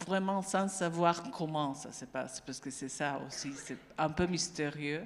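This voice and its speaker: A woman speaks very slowly in a fairly low voice with ordinary pitch variation. Audible room echo surrounds her speech. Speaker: neuropsychiatrist, panel speaker. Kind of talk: panel discussion remarks. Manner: somewhat halting.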